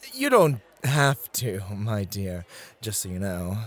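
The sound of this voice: Using a put-on character voice, a man speaks at a fairly low pitch. His pitch swings very widely, and the pace is slow.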